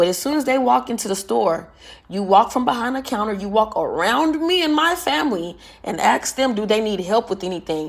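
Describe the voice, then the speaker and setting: A woman shouts in an animated tone with vocal fry. Her pitch swings very widely and her pace is fairly quick. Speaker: vlogger. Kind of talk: casual storytelling monologue. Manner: sounds like yelling even in normal talk.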